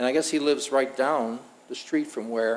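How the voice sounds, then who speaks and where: A man talks in a normal speaking voice at medium pitch, with ordinary pitch variation. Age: 60s. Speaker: restaurant owner. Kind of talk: public meeting testimony.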